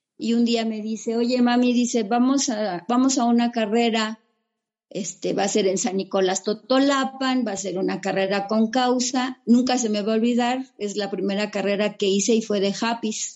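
Using a plain, everyday voice, a woman with a fairly high pitch speaks at a moderate pace with fairly even intonation. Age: 60s. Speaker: trail runner. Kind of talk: interview.

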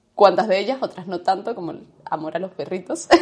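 Fairly quick speech from a woman, medium in pitch. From Andalusia, Spain. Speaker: podcast co-host, yoga teacher. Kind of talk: casual chat.

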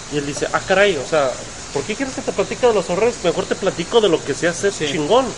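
A man speaks with a high pitch. Background noise is noticeable. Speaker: podcast host and entrepreneurship teacher. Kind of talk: live podcast chat. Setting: hotel event, live streaming.

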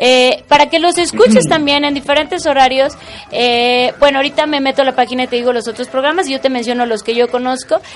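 Talking at a very fast pace with a Mexican accent, a woman's high-pitched voice comes through noticeable background noise. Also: ordinary pitch variation. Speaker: radio host. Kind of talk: casual interview chat. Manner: animated.

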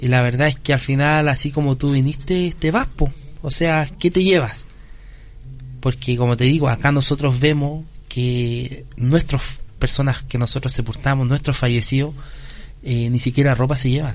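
Delivered in a normal speaking voice, the speech moves at a moderate pace with fairly even intonation. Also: man, medium pitch for a man. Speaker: foundation founder. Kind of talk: radio interview.

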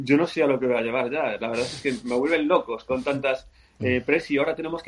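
A fairly quick man's voice, a plain, everyday voice, pitched fairly high. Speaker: cycling federation president. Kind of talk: interview.

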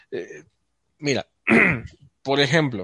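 A man with a Mexican accent speaks at a fairly high pitch, the sound dry and close with no echo. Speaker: podcast guest and show's voice-over announcer. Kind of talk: casual chat.

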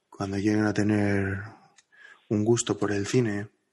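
Against a quiet background, a man with a fairly low pitch talks at a very slow pace. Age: 30s. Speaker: podcast co-host. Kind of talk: casual chat.

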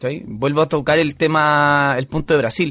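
Music plays in the background as a man with a fairly high pitch speaks at a fairly quick pace. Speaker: podcast co-host. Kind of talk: casual chat.

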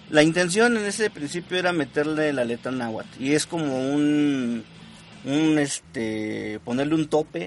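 A man speaks with an unremarkable speaking voice, fairly high in pitch. His intonation is lively and his pace fairly slow. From Mexico, Puebla state. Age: 30s. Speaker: ska musician, band leader. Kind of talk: casual radio interview. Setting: live radio studio.

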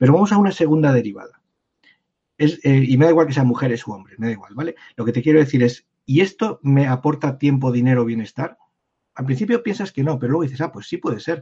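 A man with a fairly high pitch and a somewhat breathy voice speaks at a very fast pace with lively intonation. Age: 50s. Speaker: personal branding consultant. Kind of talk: interview conversation.

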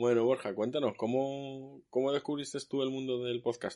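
This man's voice has a dark, mellow tone at a medium pitch, moving at a moderate pace. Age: 40s. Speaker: podcast host. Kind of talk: casual chat.

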